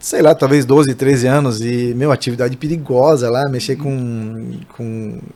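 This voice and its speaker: A man at medium pitch, fairly slow pace, fairly even intonation and hardly any pauses. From interior of São Paulo state, Brazil. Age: 40s. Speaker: barbershop owner. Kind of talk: podcast interview. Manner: halting, many false starts.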